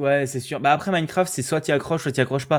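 This man talks at a very fast pace. His pitch is fairly high and his intonation fairly even. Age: young. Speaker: podcast host, student. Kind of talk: casual chat.

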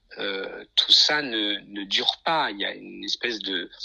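A man speaks over noticeable background noise. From France, Nice. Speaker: concert pianist. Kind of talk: interview. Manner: halting.

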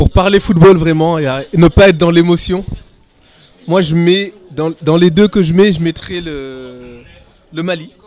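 Music plays behind a man who speaks very slowly and high for a man, with fairly even intonation and long, frequent pauses. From born in Senegal, raised in France. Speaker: podcast panelist, finance worker. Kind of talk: casual chat.

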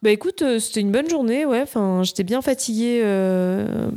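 Dark, mellow tones from a woman, ordinary pitch variation, and a very clean recording over a silent background. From France, Nice. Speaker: screenwriter. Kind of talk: casual chat.

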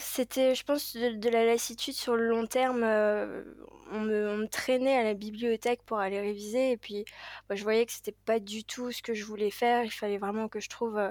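The voice moves at a moderate pace in a monotone, flat intonation. The sound is dry and close with no echo, on a very clean recording with a silent background. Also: woman, fairly high pitch for a woman. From Paris, France. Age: 20s. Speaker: airline pilot. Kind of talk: interview. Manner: hesitant, many fillers.

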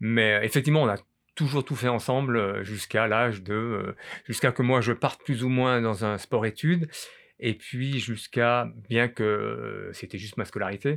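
A man's medium-pitched voice with ordinary pitch variation in a very clean recording against a silent background. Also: fairly slow pace. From France, Grenoble. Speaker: former ski champion and coach. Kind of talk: interview. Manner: halting, many repetitions.

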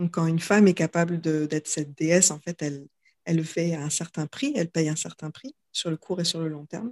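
Fairly quick and fairly low in pitch, a woman speaks with ordinary pitch variation. The sound is dry and close with no echo. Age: 30s. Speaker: yoga teacher and author. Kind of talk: casual chat. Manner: halting.

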